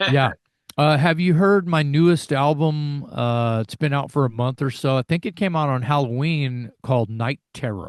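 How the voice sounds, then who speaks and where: This man has a normal speaking voice, fairly high in pitch. He talks at a moderate pace with ordinary pitch variation. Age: 60s. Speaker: heavy metal singer. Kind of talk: interview.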